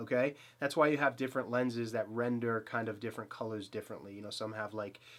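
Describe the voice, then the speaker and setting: A man talks in a Boston accent. His pace is very fast. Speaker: photography YouTuber. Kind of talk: gear review. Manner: casual, filler-heavy; enthusiastic.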